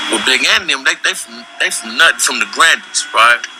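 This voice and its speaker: A man talks at a fairly quick speed while noticeable background noise carries on behind him. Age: 60s. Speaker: former gang member and ex-prisoner. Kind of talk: interview storytelling.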